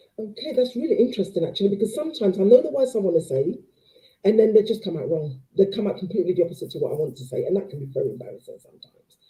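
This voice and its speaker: The voice races at a very fast pace, somewhat breathy, with very wide pitch swings and big swings in loudness. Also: woman, medium pitch for a woman. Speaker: live show host. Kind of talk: live show Q&A. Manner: stumbles over words.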